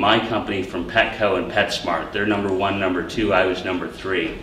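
A man with a fairly low pitch at a moderate pace, with audible room echo and light background noise. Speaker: startup founder. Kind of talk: startup pitch and Q&A. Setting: stage with audience. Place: classroom. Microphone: camera far.

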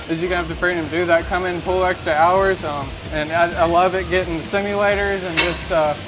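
A man talks in a high pitch at a fairly quick pace, his intonation monotone and flat. Noticeable background noise runs underneath. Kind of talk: interview answer. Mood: earnest, grateful. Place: workshop. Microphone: lapel.

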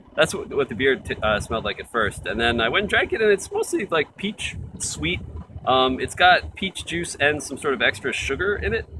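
The sound is dry with no echo, though noticeable background noise is present. A man talks at a moderate pace. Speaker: beer reviewer. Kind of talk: casual vlog chat. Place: garden. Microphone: phone near.

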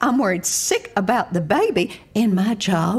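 Lively intonation in a natural reading voice

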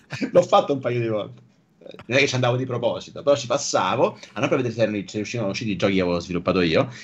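A man speaks very fast, with lively intonation at a medium pitch. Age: 40s. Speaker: software engineer and online creator; online creator. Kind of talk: casual interview chat. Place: home room.

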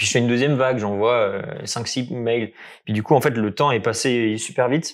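The man's pace is fairly quick and his intonation fairly even. Nothing stirs in the quiet background. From France near Geneva; France. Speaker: maths graduate; interviewee. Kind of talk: casual interview. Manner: halting. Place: home room. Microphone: lapel.

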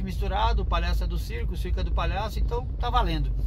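There is noticeable background noise as a man speaks in a very deep, low pitch. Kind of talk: casual vlog chat. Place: car. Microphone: phone near.

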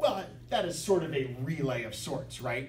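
Over light background noise and audible room echo, a man speaks with vocal fry and ordinary pitch variation. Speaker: bridge teacher. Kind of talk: lecture. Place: classroom. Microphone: camera far.

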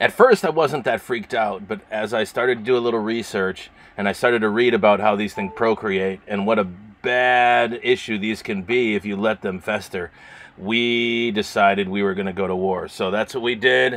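A man talks at a moderate pace. His pitch is fairly low and his intonation fairly even. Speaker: sailing vlogger. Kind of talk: casual vlog chat. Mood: playfully dramatic. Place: boat. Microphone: phone near.

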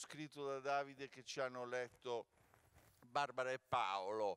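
A man speaks in a normal speaking voice at a moderate pace with ordinary pitch variation. The sound is dry, with no echo. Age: 60s. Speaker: former artistic director, jury president; theatre actor speaking at press event. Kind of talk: press conference speech. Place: stage. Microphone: handheld.

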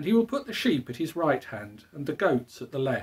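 Big pitch swings mark this man's voice, which has a husky, rough edge.

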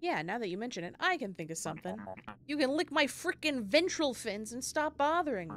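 In a put-on character voice, a female-sounding speaker talks at a fairly quick pace with a gruff, high pitch and very wide pitch swings. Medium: game stream. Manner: gruff, dismissive, impatient.

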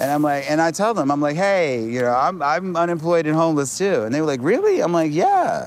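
A man at a fairly quick pace with ordinary pitch variation, hardly any pauses and very even loudness, in a dry sound with no echo over faint music in the background. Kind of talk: interview answer. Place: street. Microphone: lapel.

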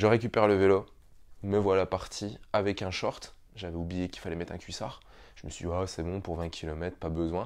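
A man with a very deep, low voice speaks at a moderate pace with fairly even intonation against a quiet background. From France, Montbéliard area (Franche-Comté); Franche-Comté, France. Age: 30s. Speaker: triathlon YouTuber and physiotherapist; triathlon YouTuber. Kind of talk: vlog storytelling to camera. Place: home room. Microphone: lapel.

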